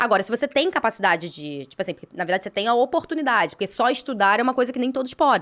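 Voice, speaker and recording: At a very fast pace, a woman with a fairly high pitch speaks with very wide pitch swings and big swings in loudness. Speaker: podcast co-host and entrepreneur. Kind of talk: casual chat.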